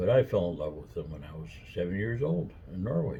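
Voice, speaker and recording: Audible room echo surrounds a man's very deep, low, somewhat breathy voice with a dark, mellow tone. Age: 70s. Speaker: vlogger. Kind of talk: casual chat. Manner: rambling with fillers.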